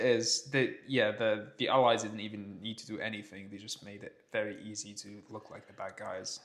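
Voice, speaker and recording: With an English accent, a man speaks at a moderate pace with hardly any pauses, his fairly low pitch held to fairly even intonation while his loudness swings widely. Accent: posh-sounding English, learned from TV. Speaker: podcast co-host. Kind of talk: casual chat.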